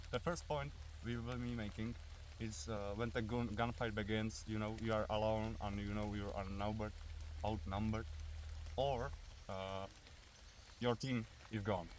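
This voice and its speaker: Amid audible room echo, a man with a Czech accent and a fairly low pitch speaks at a moderate pace with ordinary pitch variation and long, frequent pauses. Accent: Czech accent, noticeable. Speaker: airsoft and survival video creator. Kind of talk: outdoor tutorial. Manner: hesitant, many fillers.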